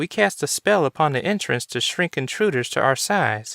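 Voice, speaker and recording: Using a put-on character voice, a man talks at a moderate pace in a very clean recording with a silent background. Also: fairly high pitch for a man. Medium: read story.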